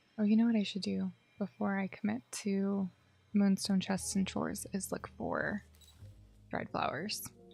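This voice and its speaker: The speech moves at a moderate pace with long, frequent pauses. Music plays in the background. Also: woman. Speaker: gaming streamer. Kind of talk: casual live stream gameplay chat.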